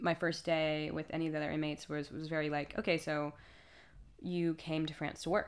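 A woman speaks with an American accent at a fairly low pitch. The recording is very clean with a silent background. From United States. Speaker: protester arrested abroad. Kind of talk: interview testimony. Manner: halting, many repetitions and fillers.

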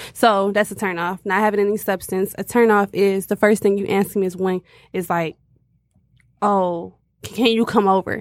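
Monotone, flat intonation from a woman at medium pitch, dry and close with no echo, on a very clean recording with a silent background. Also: moderate pace. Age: 20s. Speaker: podcast co-host. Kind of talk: casual chat.

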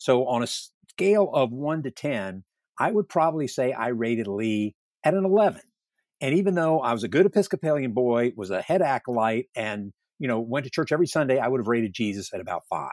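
Pitched in the medium range, a man talks at a fairly quick pace with very wide pitch swings. The recording is very clean with a silent background, and the sound is dry and close with no echo. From US South, Northern Virginia. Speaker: retired army general and historian. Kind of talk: interview. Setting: virtual studio.

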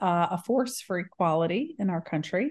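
A woman talks at a fairly slow pace in an ordinary speaking voice. Her intonation is lively and the background quiet. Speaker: author. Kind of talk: casual interview chat.

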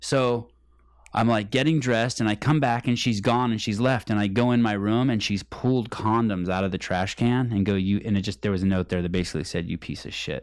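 Here a man speaks fairly quickly in an unremarkable speaking voice, pitched fairly low with ordinary pitch variation. The recording is very clean, with a silent background. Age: 40s. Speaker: podcast host. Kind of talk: casual chat.

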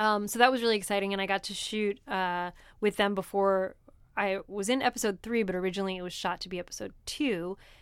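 A woman with an American accent talks at a very fast pace in a medium pitch, on a very clean recording with a silent background. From New Jersey. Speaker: comedian. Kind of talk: casual chat. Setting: studio.

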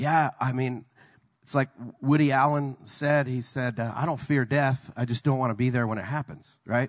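A man with an American accent talks in a plain, everyday voice at medium pitch and a moderate pace. The sound is dry and close, with no echo. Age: 50s. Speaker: pastor. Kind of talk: sermon.

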